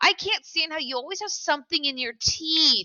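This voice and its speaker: A woman with an American accent talks in an animated tone, her intonation lively. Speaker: teacher. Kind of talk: lecture.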